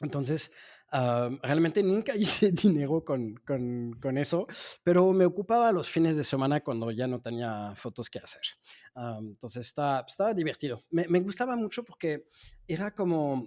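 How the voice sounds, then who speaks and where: A man with a slight French accent speaks at a moderate pace in a fairly high pitch with a dark, mellow tone and very wide pitch swings. The recording is very clean, with a silent background. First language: French (speaking Spanish). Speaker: SEO agency founder. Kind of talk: interview. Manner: halting, many fillers and repetitions.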